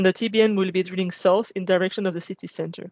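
A woman with fairly even intonation, dry sound with no echo, and a quiet background. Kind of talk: technical presentation. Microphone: webcam.

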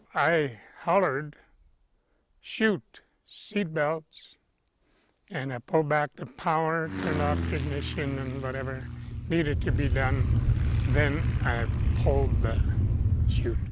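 Delivered at a very slow pace with long, frequent pauses, the voice has a dry sound with no echo over noticeable background noise. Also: man. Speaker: pilot telling rescue story. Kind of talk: testimony. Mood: calm reflective storytelling. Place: open country.

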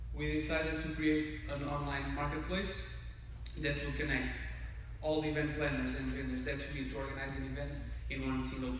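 In a room with strong echo and light background noise, a man talks at a fairly quick pace in a monotone, flat intonation. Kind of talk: conference talk. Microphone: camera far.

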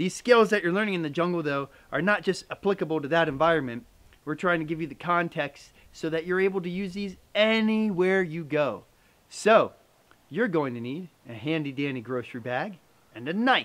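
Lively intonation and a fairly quick pace shape this man's talk. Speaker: bushcraft instructor. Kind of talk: tutorial. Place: forest.

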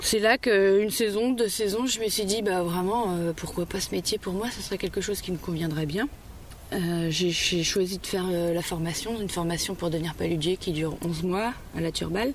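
A woman's moderately paced talk uses ordinary pitch variation and a normal speaking voice. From Vendée coast, western France. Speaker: salt farmer. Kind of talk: interview. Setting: outdoors.

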